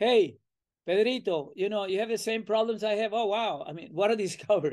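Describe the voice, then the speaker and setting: Speaking very fast with a Venezuelan accent, a man uses a high pitch with ordinary variation. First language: Spanish. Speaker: professor. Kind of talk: interview. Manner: talkative; animated.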